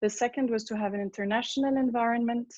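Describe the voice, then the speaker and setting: A fairly high-pitched woman with a French accent, fairly quick and fairly even in intonation, against a quiet background. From France. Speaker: parent. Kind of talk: testimony. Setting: video call.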